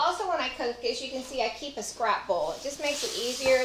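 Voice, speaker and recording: A woman with a Texas accent, lively intonation and a moderate pace, amid audible room echo. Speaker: home cook and former caterer. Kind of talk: cooking tutorial. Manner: casual, chatty.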